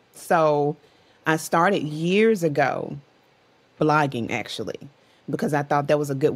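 Her pitch very deep and low, a woman speaks at a moderate pace with ordinary pitch variation. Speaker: podcast guest. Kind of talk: interview answer. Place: home room.

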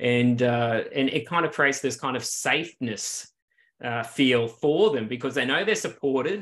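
With an Australian accent, a man speaks at a fairly slow pace with ordinary pitch variation. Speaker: clinical psychologist, researcher; interviewee. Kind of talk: interview. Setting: video call. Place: home room. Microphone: video call.

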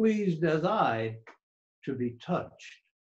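Against a quiet background, a man talks at a fairly slow pace in a high pitch. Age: 80s+. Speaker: elderly father. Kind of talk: reading his own story aloud. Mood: calm, reflective. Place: home room. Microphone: video call.

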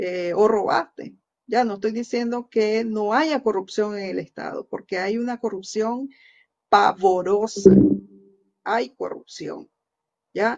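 This woman has a fairly high pitch. She talks at a very slow pace with long, frequent pauses. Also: ordinary pitch variation. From Nicaragua. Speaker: news show host. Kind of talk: opinion commentary. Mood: earnest, critical. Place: home room. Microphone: webcam.

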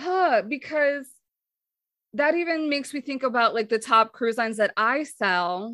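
A woman speaks in a raised, projected voice at a high pitch. Her tone is animated, though her pace is fairly slow. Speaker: podcast host and travel advisor. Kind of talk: casual interview conversation. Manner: animated, laughs often.

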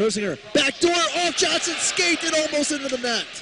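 Raising and projecting his voice, a man swings very widely in pitch, with noticeable background noise and a dry sound that has no echo. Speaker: hockey play-by-play announcer. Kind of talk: live commentary. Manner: fast, rapid-fire, excitable; clipped play-by-play delivery with rising energy at goals.

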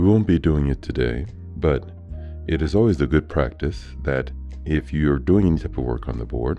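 The speech proceeds at a moderate tempo. Background music can be heard throughout. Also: man, very deep, low pitch for a man, lively intonation. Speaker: Bitcoin mining technician presenter. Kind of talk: technical tutorial narration.

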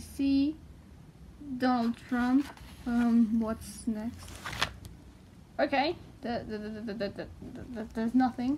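A woman with a non-native accent speaks at a very slow pace and a high pitch, with long, frequent pauses. Light background noise is present. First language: not English. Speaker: fan vlogger. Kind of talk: casual talk to camera. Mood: excited, hesitant fan. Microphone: phone near.

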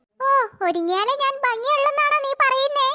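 This woman uses a cartoonish character voice, pitched extremely high. It sounds squeaky throughout. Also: moderate pace.

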